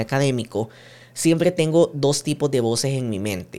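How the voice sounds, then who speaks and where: At a moderate pace, a man speaks in a normal speaking voice, fairly high in pitch, with ordinary pitch variation. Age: 20s. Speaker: podcast host and digital projects consultant. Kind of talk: solo monologue podcast.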